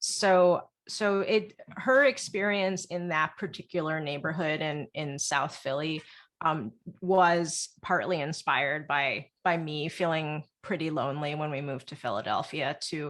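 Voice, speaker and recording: A woman's very deep, low voice moves with ordinary pitch variation in a very clean recording with a silent background. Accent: American. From United States. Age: 40s. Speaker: novelist. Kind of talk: interview. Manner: halting, with frequent repeated words.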